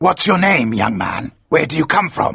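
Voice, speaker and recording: A man growls his way through a put-on character voice. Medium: read story.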